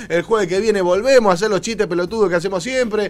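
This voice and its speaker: A man speaks in a Rioplatense accent. His voice is high, with ordinary pitch variation. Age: 40s. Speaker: radio host. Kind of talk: casual chat. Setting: studio. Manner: animated.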